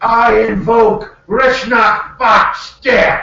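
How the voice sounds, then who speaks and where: Shouting in a put-on character voice, a man hits an extremely high pitch, with slight echo. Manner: shouting, invoking a spell.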